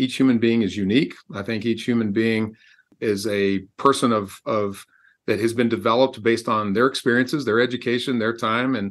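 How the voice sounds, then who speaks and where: A man with an American accent and a normal speaking voice talks at a moderate pace, his medium pitch held in fairly even intonation. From Texas. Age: 60s. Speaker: executive coach and author. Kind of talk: interview.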